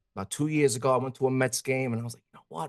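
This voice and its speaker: A man's medium-pitched voice with a strong New York accent. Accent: thick New York. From New York (grew up Yankee fan, parades). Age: 30s. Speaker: guest, former TV actor. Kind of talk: casual chat. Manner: animated.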